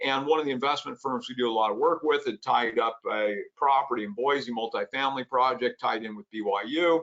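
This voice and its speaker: A man talks at a fairly quick pace with hardly any pauses. His pitch varies in an ordinary way. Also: medium pitch for a man. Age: 60s. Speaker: self-directed IRA educator. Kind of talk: lecture. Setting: online webinar. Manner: fast.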